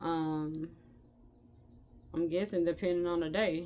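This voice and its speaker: A woman talks at a very slow pace in a fairly low pitch. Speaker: crochet tutorial creator. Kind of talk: tutorial. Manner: hesitant, many fillers.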